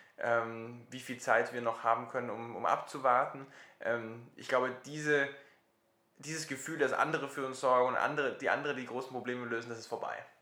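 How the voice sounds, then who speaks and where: A man at medium pitch, fairly quick and monotone with flat intonation, his loudness swinging widely amid audible room echo. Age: 20s. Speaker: social startup founder. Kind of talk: interview.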